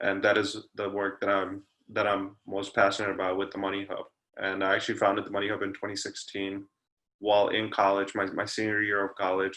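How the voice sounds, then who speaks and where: With an American accent, a man speaks fairly quickly in a fairly low pitch, his tone bright and sharp and his intonation monotone and flat. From New York City, Queens. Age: 20s. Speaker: entrepreneur. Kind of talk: interview. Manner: hesitant, many fillers.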